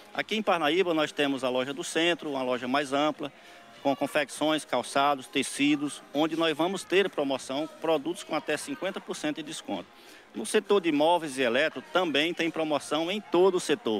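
A man with an ordinary speaking voice, fairly high in pitch, speaks at a moderate pace with ordinary pitch variation. The sound is dry with no echo, over light background noise. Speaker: store representative. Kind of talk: radio ad pitch. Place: shop. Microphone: handheld.

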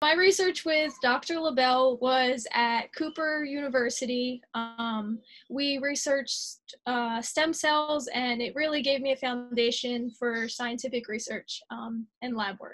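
Over a quiet background, a woman speaks with a high pitch. Her pace is fairly slow, with ordinary pitch variation. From New Jersey (Sewell, South Jersey). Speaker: college alumnus, chemistry graduate. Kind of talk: promotional testimonial. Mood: friendly, positive. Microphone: webcam.

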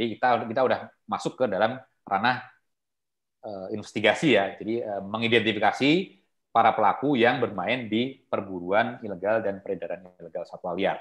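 With ordinary pitch variation, a man speaks fairly quickly against a quiet background. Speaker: wildlife trade conservation expert; guest lecturer. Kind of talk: online guest lecture. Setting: video call. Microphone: video call.

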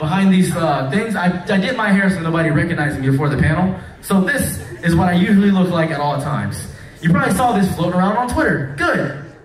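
Talking at a fairly quick pace with few pauses, a man with an American accent uses lively intonation and a high pitch. Audible room echo surrounds his voice.

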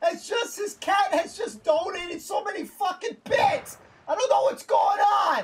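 Shouting at a fairly slow pace, a man hits an extremely high pitch with ordinary pitch variation. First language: Spanish. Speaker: gaming streamer. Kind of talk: casual live stream chat. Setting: live stream with voice chat. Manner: animated.

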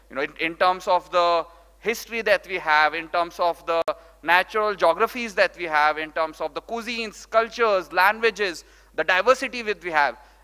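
Against a quiet background, a man with a high pitch and a bright, sharp tone talks at a moderate pace with ordinary pitch variation. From India, Rajasthan. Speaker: startup founder and CEO. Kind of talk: conference talk. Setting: stage with audience. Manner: animated. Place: hall. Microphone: podium.

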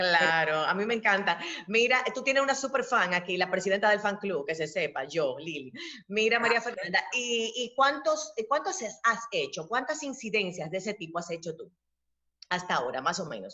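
Her voice is medium-pitched and animated, with very wide pitch swings. The woman speaks over a quiet background. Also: moderate pace. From Dominican Republic. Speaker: interviewer. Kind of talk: interview. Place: home room. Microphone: webcam.

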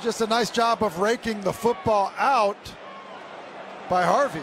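Against noticeable background noise, a man speaks at a fairly slow pace with a high pitch. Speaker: color analyst. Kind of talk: live sports commentary. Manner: conversational, explanatory, analytical.

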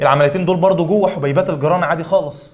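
A man speaks at a high pitch. His pitch variation is ordinary. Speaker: biology teacher. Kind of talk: lecture. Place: studio.

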